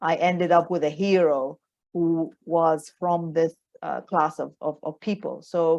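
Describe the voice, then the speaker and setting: A woman is speaking. She has a Sudanese accent. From Sudan, Khartoum. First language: Arabic. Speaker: novelist. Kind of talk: book club author Q&A. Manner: halting, many repetitions; code-switching Arabic and English.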